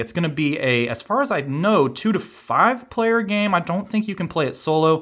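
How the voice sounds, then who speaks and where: At a moderate pace, the voice rises and falls in very wide pitch swings over a very clean recording with a silent background. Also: man. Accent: Kansas. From Kansas. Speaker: board game youtuber. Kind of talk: unboxing video. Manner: casual, filler-heavy.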